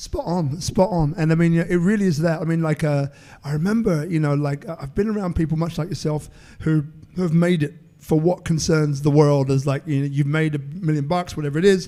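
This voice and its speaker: A man with a London accent talks at a fairly quick pace. His pitch is fairly high, and his tone is dark and mellow. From London, England. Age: 50s. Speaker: entrepreneur and networker. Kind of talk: interview. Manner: animated.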